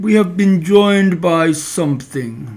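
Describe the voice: Speaking at a fairly slow pace, a man uses a put-on character voice pitched high.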